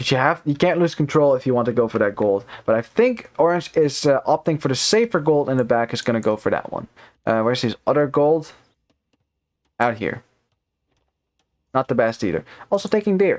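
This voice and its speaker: A man with a non-native accent, lively intonation, a fairly quick pace, and long, frequent pauses. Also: fairly high pitch for a man. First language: not English. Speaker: esports caster. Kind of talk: live commentary. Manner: casual, many fillers.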